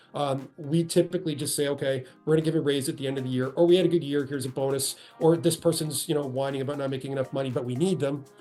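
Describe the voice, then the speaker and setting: Music plays behind a man talking at a very fast pace. His pitch is fairly high and his intonation fairly even. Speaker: HR executive presenting a webinar. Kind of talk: webinar presentation. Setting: online webinar call. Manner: conversational, with self-corrections.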